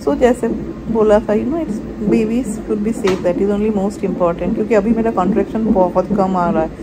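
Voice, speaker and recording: Over loud background noise, a woman talks at a moderate pace with ordinary pitch variation. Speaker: new mother vlogger. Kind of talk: casual vlog chat. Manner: soft, weary voice lying in bed. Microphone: phone near.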